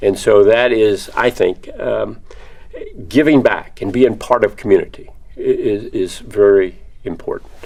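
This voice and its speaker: Speaking at a fairly slow pace, a man with an American accent is heard over noticeable background noise. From Texas (Victoria). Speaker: construction industry alumnus. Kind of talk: interview answers. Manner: halting, many fillers and repeats.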